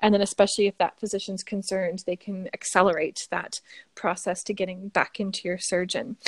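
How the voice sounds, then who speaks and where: A woman with a plain, everyday voice talks at a fairly quick pace and medium pitch with fairly even intonation, in a dry, close sound with no echo. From Canada. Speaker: biochemist and skincare founder. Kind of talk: interview.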